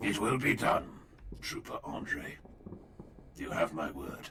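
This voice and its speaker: Using a raspy, put-on character voice, a man speaks at a fairly slow pace over clear background noise. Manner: solemn, formal.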